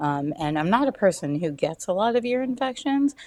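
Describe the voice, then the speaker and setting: With an American accent and a normal speaking voice, a woman talks at a fairly quick pace with lively intonation. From US South. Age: 30s. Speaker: cancer patient sharing her story. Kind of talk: interview. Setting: podcast interview.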